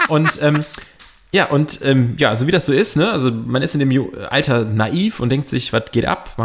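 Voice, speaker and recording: Over noticeable background noise, a man with a fairly high pitch talks at a moderate pace, his intonation lively and his loudness very even. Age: 30s. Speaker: podcast co-host. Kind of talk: casual chat.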